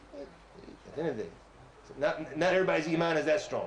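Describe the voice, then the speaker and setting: Loud and at a fairly quick pace, a man with an American accent speaks amid audible room echo. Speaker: Islamic preacher. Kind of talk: religious lecture. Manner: animated.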